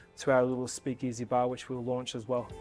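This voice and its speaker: Over music in the background, a man talks at a fairly quick pace with a medium pitch. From Australia. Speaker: hotel general manager. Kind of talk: interview answer.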